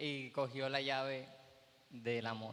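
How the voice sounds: A man's medium-pitched voice, fairly bright in tone, slow in pace, with little pitch movement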